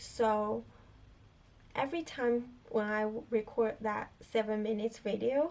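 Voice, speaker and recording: In a non-native accent, a woman speaks at a fairly slow pace. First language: not English. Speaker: filmmaker and video creator. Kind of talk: casual chat to camera. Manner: halting, many fillers.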